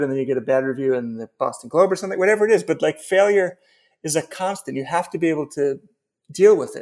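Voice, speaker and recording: Over a silent background in a very clean recording, a man speaks very fast in a high voice with ordinary pitch variation. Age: 50s. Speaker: novelist and writing teacher. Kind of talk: casual interview.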